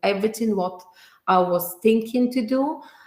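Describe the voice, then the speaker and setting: A woman with a strong Bulgarian accent speaks at a fairly slow pace with ordinary pitch variation. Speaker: entrepreneur. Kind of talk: interview. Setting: video call. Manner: halting.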